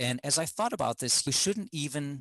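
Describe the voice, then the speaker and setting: Recorded with a dry, close sound, no echo and a quiet background, a man with a German accent speaks at a medium pitch with lively intonation. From Germany. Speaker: communications specialist, immigrant.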